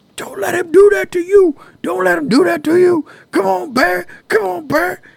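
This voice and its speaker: Shouting loudly in a put-on character voice, a man swings his extremely high pitch very widely at a moderate pace. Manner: loud yelling, screaming.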